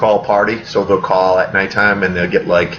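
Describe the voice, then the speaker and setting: Energetic in tone, a man speaks at a fairly quick pace and fairly low pitch. Noticeable background noise runs underneath. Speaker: real estate agent. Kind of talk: live webinar Q&A. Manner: fast; casual, energetic.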